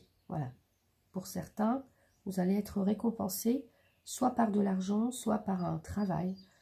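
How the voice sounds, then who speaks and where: Very slowly, a woman speaks at a medium pitch with ordinary pitch variation, vocal fry and a dark, mellow tone. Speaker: tarot reader. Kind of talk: tarot reading. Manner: halting, many fillers.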